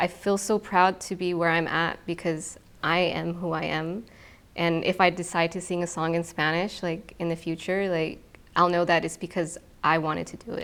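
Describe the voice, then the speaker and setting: In an American accent, the speaker delivers everything with monotone, flat intonation. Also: woman, fairly low pitch for a woman, moderate pace. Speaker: singer-songwriter. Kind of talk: casual interview. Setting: conference room at a festival. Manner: calm, zen.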